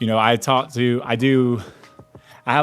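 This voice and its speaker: A man talks at a medium pitch. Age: 30s. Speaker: podcast host. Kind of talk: casual live podcast monologue. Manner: loud; animated.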